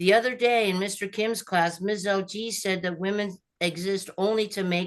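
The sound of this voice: An unforced reading voice is heard. There is a quiet background behind it.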